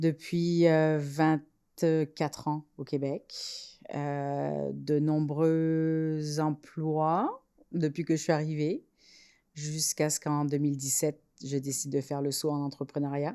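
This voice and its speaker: A woman speaks very slowly in a very deep, low voice with a dark, mellow tone and flat, monotone intonation. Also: very clean recording, silent background. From France. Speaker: entrepreneur, incubator co-founder. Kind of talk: podcast interview.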